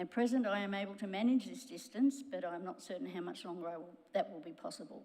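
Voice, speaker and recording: A woman with an Australian accent talks at a fairly quick pace. Her voice has vocal fry. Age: 70s. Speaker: local resident. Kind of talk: public submission.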